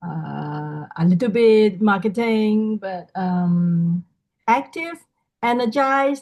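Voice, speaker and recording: A somewhat breathy woman at a very slow pace, with long, frequent pauses and ordinary pitch variation. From Hong Kong. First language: not English. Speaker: sales team member, workshop participant. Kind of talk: video call self-introduction. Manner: halting.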